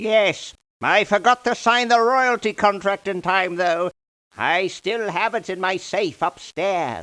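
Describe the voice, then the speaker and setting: A put-on character voice, female-sounding, theatrical in tone, middle-pitched and fairly slow, over a quiet background. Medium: video game. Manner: excitable, theatrical.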